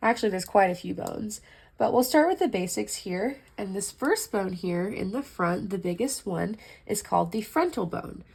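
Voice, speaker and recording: A woman speaks at a moderate pace with vocal fry. Her medium pitch varies in an ordinary way. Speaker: anatomy tutor. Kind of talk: casual educational explanation.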